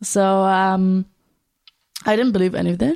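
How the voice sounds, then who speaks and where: With an Arabic accent, a woman speaks at a moderate pace in a dark, mellow tone at medium pitch. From Syria. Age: 20s. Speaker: refugee and humanitarian volunteer. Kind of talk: interview testimony.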